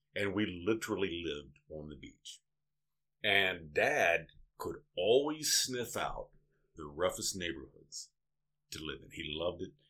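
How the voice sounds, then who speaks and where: There are long, frequent pauses as a man speaks at a fairly slow pace. His loudness swings a lot. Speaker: father of the hosts, storyteller. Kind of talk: casual storytelling. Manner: joking, sarcastic.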